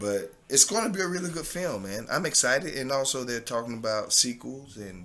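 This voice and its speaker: A man with an American accent at a fairly quick pace, hardly any pauses, medium pitch, very wide pitch swings and a bright, sharp tone. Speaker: actor and former pro football player. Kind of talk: podcast interview.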